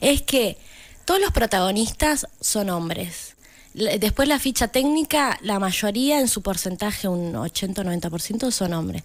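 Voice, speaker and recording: A woman with a plain, everyday voice at a medium pitch, lively intonation and a fairly slow pace, in a very clean recording with a silent background. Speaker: community radio contributor. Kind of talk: casual chat.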